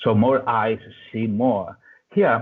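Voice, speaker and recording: The speaker has an Italian accent and keeps a moderate pace. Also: man. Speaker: software developer. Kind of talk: conference talk. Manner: halting.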